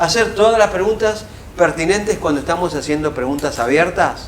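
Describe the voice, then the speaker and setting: A man with a Rioplatense accent speaks at a moderate pace with lively intonation. Noticeable background noise and audible room echo surround him. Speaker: professor. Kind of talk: lecture.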